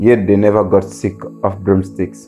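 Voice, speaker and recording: Music plays in the background as a man speaks with a West African accent. His pitch is fairly low and his pace moderate. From Gambia. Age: 20s. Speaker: spoken word poet. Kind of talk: poetry reading.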